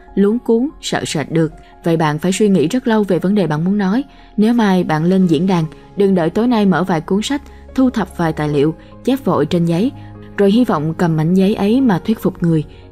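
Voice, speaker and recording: Music plays behind a woman speaking at a fairly quick pace. Her medium-pitched voice has lively intonation and very even loudness. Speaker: audiobook narrator. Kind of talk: audiobook reading of a self-help book.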